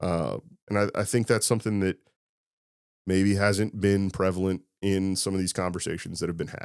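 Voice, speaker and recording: In a Midwestern US accent, a man speaks with a very deep, low pitch and monotone, flat intonation at a moderate pace. He leaves long, frequent pauses, and the recording is very clean with a silent background. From Indiana, Clinton County. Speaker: high school football coach. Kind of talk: casual interview.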